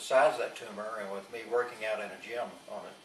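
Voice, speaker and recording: A man talks at a fairly quick pace with a medium pitch. Noticeable background noise and audible room echo surround him. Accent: Texan. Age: 60s. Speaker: patient. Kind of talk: testimony. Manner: halting.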